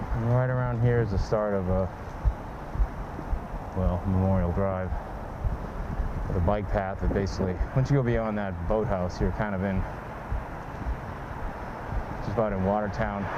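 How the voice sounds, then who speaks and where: Over noticeable background noise, a man talks at a moderate pace with ordinary pitch variation and long, frequent pauses. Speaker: cyclist tour narrator. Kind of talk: casual vlog commentary. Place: street. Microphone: phone near.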